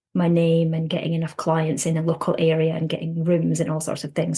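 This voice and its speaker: The pace of the speech is moderate. It is delivered with a Scottish accent. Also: woman. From Scotland. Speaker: counsellor. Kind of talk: podcast interview.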